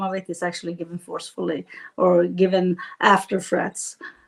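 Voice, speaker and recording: A woman speaks at a moderate pace in a Swedish accent. The background is quiet. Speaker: politician. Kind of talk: interview. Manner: halting.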